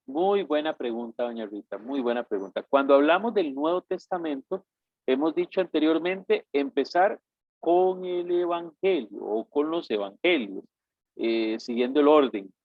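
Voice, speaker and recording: An unremarkable speaking voice moves at a fairly slow pace. Its intonation is lively. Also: man, fairly high pitch for a man. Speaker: bible course teacher. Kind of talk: lecture.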